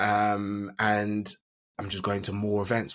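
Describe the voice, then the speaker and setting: A man talks with an Essex accent at a fairly low pitch. The recording is very clean, with a silent background. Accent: southern English (Essex). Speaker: business coach. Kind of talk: podcast interview. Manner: hesitant, many fillers.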